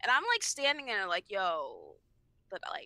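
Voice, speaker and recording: A woman's animated, raised, projected voice, bright and sharp in tone, with a high pitch. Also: dry, close sound with no echo. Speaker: podcast co-host. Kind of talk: casual chat.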